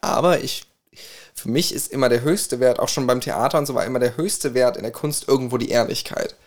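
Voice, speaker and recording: This is a normal speaking voice at a moderate pace. Its pitch variation is ordinary. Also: man. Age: 20s. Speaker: co-host, music student and singer. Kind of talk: casual chat.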